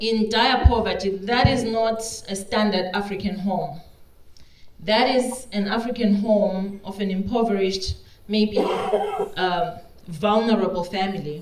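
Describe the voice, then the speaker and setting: The speech moves at a fairly slow pace with fairly even intonation. Audible room echo and noticeable background noise surround it. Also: woman, medium pitch for a woman. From Zimbabwe, Victoria Falls. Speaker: regenerative agriculture practitioner. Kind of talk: conference talk.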